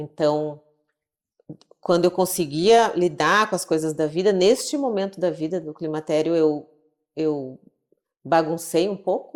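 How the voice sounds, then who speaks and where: A woman speaks at a fairly slow pace with ordinary pitch variation and long, frequent pauses. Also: fairly low pitch for a woman. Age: 50s. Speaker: psychiatrist. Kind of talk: interview conversation.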